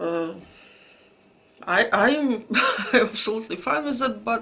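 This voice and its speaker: A woman talks at a fairly slow pace while noticeable background noise plays behind her. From Latvia (Latgale). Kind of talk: casual talk to camera. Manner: hesitant.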